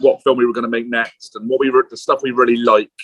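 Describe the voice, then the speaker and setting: A man with an English accent, talking at a very fast pace. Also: dry, close sound with no echo. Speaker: film director. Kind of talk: interview. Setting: pub, remote call.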